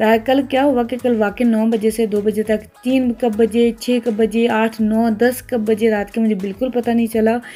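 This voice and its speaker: Over music in the background, the voice keeps a moderate pace, monotone, flat intonation and very even loudness. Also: woman, fairly high pitch for a woman. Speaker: mom vlogger. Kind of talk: casual vlog narration.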